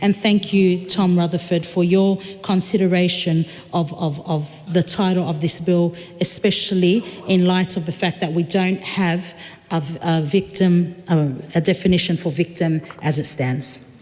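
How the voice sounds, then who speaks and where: The woman's fairly low pitch and fairly slow pace come through over noticeable background noise. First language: not English. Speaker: member of parliament. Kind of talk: parliamentary debate. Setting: parliament chamber. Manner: halting, many fillers and repetitions.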